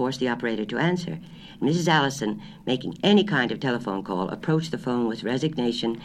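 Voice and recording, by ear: Read aloud in a natural voice, the clip has lively intonation.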